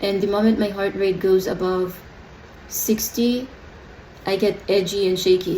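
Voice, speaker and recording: The pitch is medium for this woman. Her intonation stays monotone and flat. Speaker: adoptee vlogger. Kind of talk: personal video diary. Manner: slow; hesitant, many fillers.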